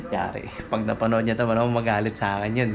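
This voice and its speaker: A man's medium-pitched, monotone, flat delivery at a very fast pace, with audible room echo and music in the background. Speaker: vlogger. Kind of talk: casual vlog talk.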